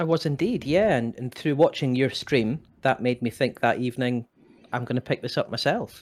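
A man talks at a moderate pace. He has a Scottish accent. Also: medium pitch for a man, ordinary pitch variation. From Scotland. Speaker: podcast co-host. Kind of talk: casual chat.

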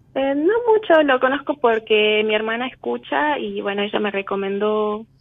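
A woman's fairly high voice at a fairly slow pace, with lively intonation and noticeable background noise. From Argentina, Tucumán. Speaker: caller. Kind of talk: phone call consultation.

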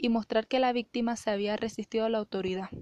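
Monotone and flat, a woman speaks over a quiet background. The sound is dry and close with no echo. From Venezuela, Mérida / El Vigía. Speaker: student. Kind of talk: scripted narration.

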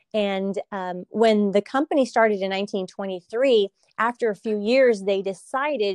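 With a Californian accent, a woman talks in a fairly high pitch and ordinary pitch variation, the sound dry and close with no echo. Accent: Californian American English. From California, Salinas. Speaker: produce company marketing and communications. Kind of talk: interview.

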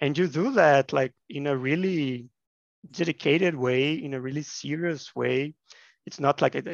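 Talking at a fairly slow pace, a man with a fairly high pitch uses ordinary pitch variation. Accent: Portuguese. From Brazil, Minas Gerais. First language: Portuguese. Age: 30s. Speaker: education researcher. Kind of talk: interview. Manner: halting, repeats words.

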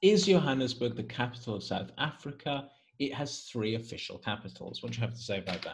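This man speaks at a very fast pace and a medium pitch, his intonation lively and his voice carrying vocal fry. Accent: Welsh. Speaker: podcast host and English teacher. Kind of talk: casual chat.

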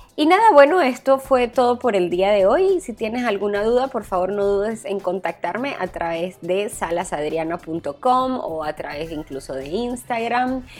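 A woman of medium pitch speaks at a fairly slow pace, her voice moving in very wide pitch swings. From Venezuela. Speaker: wedding planner. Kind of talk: podcast monologue. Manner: hesitant with fillers.

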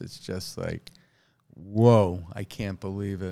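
A man with a New York accent, a fairly low pitch and a fairly slow pace. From New York City, Queens. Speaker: stand-up comedian. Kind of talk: casual chat.

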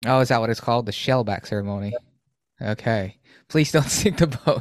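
Fairly quick man's voice, a plain, everyday voice, at medium pitch with ordinary pitch variation. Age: 30s. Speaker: podcast host. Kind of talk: casual interview.

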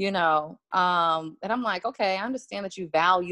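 A woman speaks in a plain, everyday voice at a medium pitch and a moderate pace. The sound is dry and close with no echo, and her pitch varies in an ordinary way. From Washington, D.C. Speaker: music publicist and author. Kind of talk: casual interview chat.

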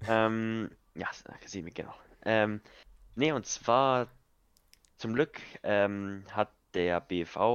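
A man speaks with a fairly low pitch. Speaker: podcast co-host, youth football coach. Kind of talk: casual chat.

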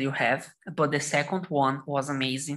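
A woman speaks in a Portuguese accent. Her pitch is very deep and low. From Brazil, São Paulo state. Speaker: lawyer. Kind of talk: casual chat.

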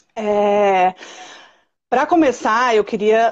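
The pace is very slow. The background is quiet. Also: woman. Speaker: early childhood specialist and podcast host. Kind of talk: live stream conversation. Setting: live stream video call. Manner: loud.

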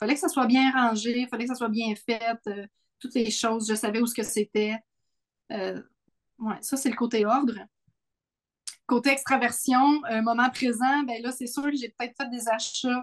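A woman with a Quebec accent speaks at a moderate pace in a high pitch, with fairly even intonation and long, frequent pauses. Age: 40s. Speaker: podcast co-host. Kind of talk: casual chat.

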